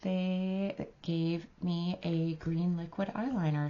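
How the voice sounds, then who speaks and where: A woman's somewhat breathy voice with a fairly low pitch. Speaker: beauty vlogger. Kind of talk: makeup review and try-on tutorial. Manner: casual, filler-heavy.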